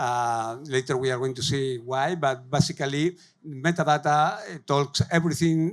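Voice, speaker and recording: Speaking with a Spanish accent, a man uses a fairly high pitch and fairly even intonation. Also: very clean recording, silent background. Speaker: tech company growth lead, conference speaker. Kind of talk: conference talk. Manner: halting, many fillers.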